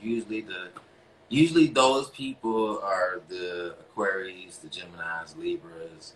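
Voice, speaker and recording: In an American accent, a man with a fairly low pitch speaks at a fairly slow pace, with big swings in loudness and very wide pitch swings. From US South, North Carolina (Greensboro). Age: 40s. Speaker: relationship coach and live-stream host. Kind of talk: casual live-stream monologue. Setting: Instagram live broadcast. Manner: halting, many fillers.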